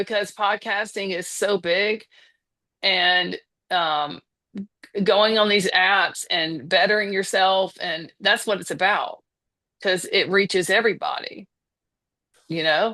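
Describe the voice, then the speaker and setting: Very slowly and with long, frequent pauses, a woman speaks at medium pitch in a bright, sharp tone with fairly even intonation. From US South. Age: 50s. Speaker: podcaster. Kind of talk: casual chat.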